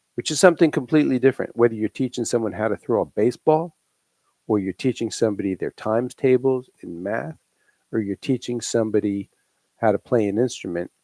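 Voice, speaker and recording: With a slight Long Island accent, a man of medium pitch talks at a very fast pace with a dark, mellow tone and lively intonation, in a dry, close sound with no echo. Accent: slight New York (Long Island). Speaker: private music instructor and livestream co-host. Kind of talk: casual live chat. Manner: halting, many restarts.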